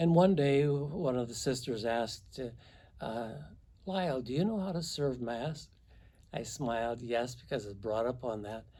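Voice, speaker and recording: A man's medium-pitched voice with a dark, mellow tone at a fairly slow pace, with audible room echo. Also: lively intonation. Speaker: priest. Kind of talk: testimony.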